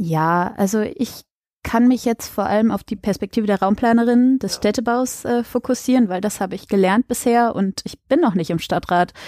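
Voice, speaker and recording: At a moderate pace, a woman speaks in a dark, mellow tone with ordinary pitch variation. The very clean recording has a silent background and a dry, close sound with no echo. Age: 20s. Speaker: local council candidate and student. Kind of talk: interview.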